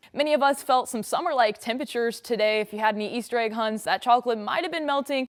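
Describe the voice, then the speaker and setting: A woman with an American accent speaks in an upbeat tone at a fairly high pitch, with noticeable background noise. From Indianapolis, Indiana. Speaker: meteorologist. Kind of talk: social media talk to camera.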